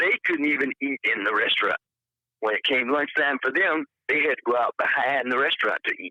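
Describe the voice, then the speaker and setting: This man has a Southern US accent. He talks at a fairly quick pace. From Alabama, US South. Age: 70s. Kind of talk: interview answer.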